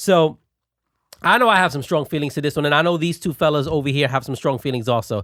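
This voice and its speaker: On a very clean recording with a silent background, a man with a fairly high pitch talks in an animated tone at a very fast pace, with ordinary pitch variation. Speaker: podcast host. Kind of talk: casual chat. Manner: loud.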